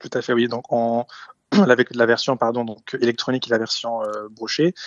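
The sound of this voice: The speaker is a man with a medium-pitched voice. His sound is dry and close, with no echo.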